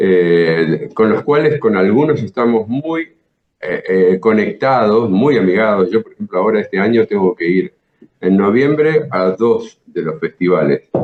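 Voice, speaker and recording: A man speaks with a Rioplatense accent at a fairly slow pace. His medium-pitched voice swings very widely in pitch. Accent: Argentine Rioplatense Spanish. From Buenos Aires province, Argentina. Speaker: jazz guitarist and teacher. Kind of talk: interview answer.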